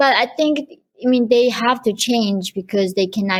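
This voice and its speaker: This woman talks with a Korean accent and ordinary pitch variation. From North Korea. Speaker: human rights activist. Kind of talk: interview.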